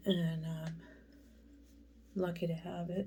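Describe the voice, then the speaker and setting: A woman's fairly low, somewhat breathy voice with a dark, mellow tone, at a fairly slow pace with monotone, flat intonation. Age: 60s. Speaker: makeup vlogger. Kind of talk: tutorial. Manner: casual, rambling with fillers.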